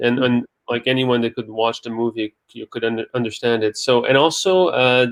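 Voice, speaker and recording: A man speaks with a Quebec accent. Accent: French Canadian accent in English. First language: French. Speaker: film director. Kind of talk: interview. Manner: halting.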